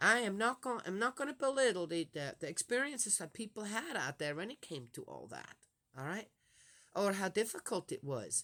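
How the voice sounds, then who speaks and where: A woman at medium pitch speaks at a moderate pace, her bright, sharp tone carrying vocal fry, very wide pitch swings and big swings in loudness. The recording is very clean, with a silent background. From Switzerland. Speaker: religious vlogger. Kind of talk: casual monologue. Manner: halting.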